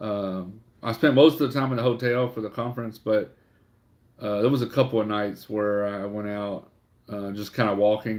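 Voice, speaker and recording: With a Louisiana accent, a man speaks in a fairly low pitch at a moderate pace, his intonation fairly even. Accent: southern US (Louisiana). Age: 40s. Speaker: online reseller livestreamer. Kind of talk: casual livestream chat. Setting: livestream. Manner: halting, many fillers.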